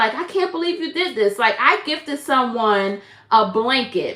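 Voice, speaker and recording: Against noticeable background noise, a woman with an American accent uses a raised, projected voice in an animated tone, her pitch swinging very widely. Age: 50s. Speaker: crochet content creator. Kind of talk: casual live-stream chat.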